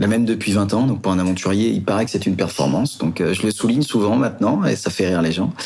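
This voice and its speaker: Talking at a very fast pace with hardly any pauses, a man keeps his loudness very even and his pitch variation ordinary over noticeable background noise. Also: fairly low pitch for a man. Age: 40s. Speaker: adventurer. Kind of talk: interview.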